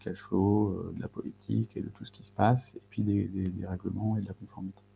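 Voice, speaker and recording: Somewhat breathy and dark, mellow in tone, a man speaks at a fairly low pitch with fairly even intonation. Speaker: data and AI consultant. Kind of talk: webinar presentation. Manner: fast; hesitant, many fillers.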